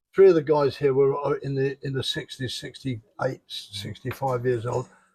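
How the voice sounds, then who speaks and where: A man with a fairly high-pitched voice and a somewhat breathy quality. His pitch moves in an ordinary way. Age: 70s. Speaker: retiree, fitness enthusiast. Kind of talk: casual interview.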